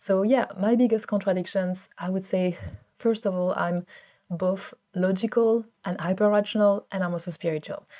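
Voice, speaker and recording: With a French accent, a woman speaks at a medium pitch and a moderate pace. Her tone is dark and mellow, and her intonation fairly even. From France. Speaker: vlogger. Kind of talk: personal vlog monologue. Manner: hesitant, many fillers and repeats.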